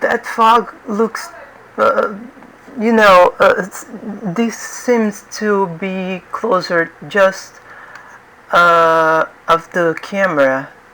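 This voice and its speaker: Speaking very slowly with a non-native accent, this voice leaves long, frequent pauses over noticeable background noise. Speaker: 3D art instructor. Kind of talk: tutorial. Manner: halting, many fillers and repetitions.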